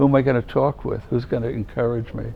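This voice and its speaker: Here a man with a New York accent talks at a fairly quick pace. His medium-pitched voice keeps a monotone, flat intonation. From New York City, Manhattan. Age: 70s. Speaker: religious brother and former chaplain. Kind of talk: interview, advice to students. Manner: warm, conversational.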